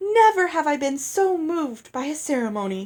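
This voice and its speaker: A woman puts on a high-pitched character voice. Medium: read story. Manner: effusive, theatrical, oblivious.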